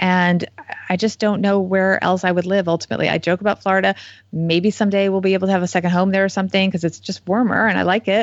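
A woman with an American accent at a very fast pace, her loudness very even throughout. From New Jersey. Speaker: financial journalist and author. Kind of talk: interview.

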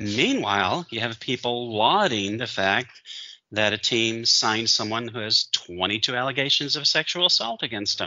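The man's voice rests at a medium pitch and moves at a moderate pace. Its pitch varies in an ordinary way. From Michigan. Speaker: sports podcast co-host. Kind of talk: casual chat. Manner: animated.

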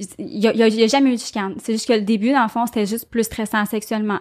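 Quick-paced and fairly high in pitch, a woman uses an ordinary speaking voice with fairly even intonation in a very clean recording with a silent background. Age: 30s. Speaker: guest sharing infertility experience. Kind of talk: testimony.

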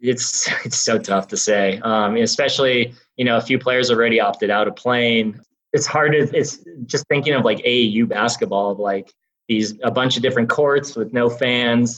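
In an unremarkable speaking voice with an American accent, a man talks at a medium pitch and moderate pace with fairly even intonation. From Wisconsin, Milwaukee. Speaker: basketball analytics director. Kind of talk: interview.

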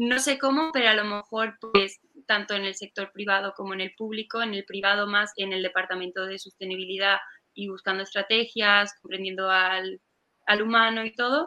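A woman speaks at a moderate pace in an unremarkable speaking voice, her medium pitch held in fairly even intonation. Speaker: university student, event organizer. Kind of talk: casual interview on a live stream.

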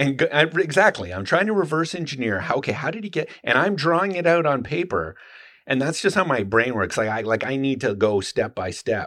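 A man speaks at a fairly high pitch in a bright, sharp tone, with vocal fry. His pitch swings very widely. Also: fairly quick pace. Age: 50s. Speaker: knife maker and YouTuber. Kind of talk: casual chat.

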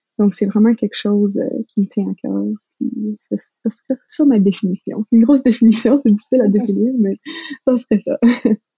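Fairly even intonation at a moderate pace, with long, frequent pauses. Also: woman, fairly high pitch for a woman. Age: 20s. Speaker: recent science graduate. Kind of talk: casual interview conversation.

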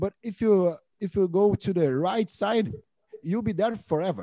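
In a southern Brazilian accent, a man talks at a high pitch with ordinary pitch variation, in a dry, close sound with no echo. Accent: Brazilian Portuguese (gaúcho). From southern Brazil (Rio Grande do Sul). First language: Portuguese. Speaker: podcast co-host. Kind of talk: casual chat. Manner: halting in English.

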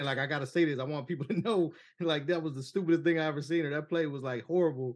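The background is quiet as a man speaks at a very fast pace. His intonation stays fairly even. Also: fairly high pitch for a man. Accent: American. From Cleveland, Ohio. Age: 40s. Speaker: sports podcast host. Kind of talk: casual chat.

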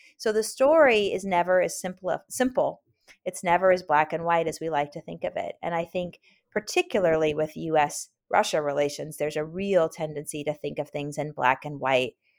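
A woman with an American accent and an unremarkable speaking voice talks at a moderate pace in a fairly low pitch with ordinary pitch variation. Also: very clean recording, silent background. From US West Coast (Oakland, California). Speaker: historian. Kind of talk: interview.

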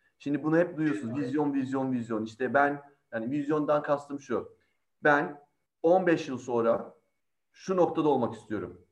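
A man with an unremarkable speaking voice talks at a moderate pace. His pitch is fairly high, with ordinary variation. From Izmir, Turkey. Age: 40s. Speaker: in-house lawyer. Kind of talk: panel talk.

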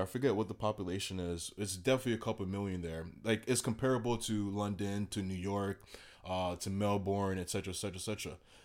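A man talks at a fairly quick pace with a Miami accent. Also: very clean recording, silent background. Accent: Miami American English. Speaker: traveler. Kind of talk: casual chat. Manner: animated.

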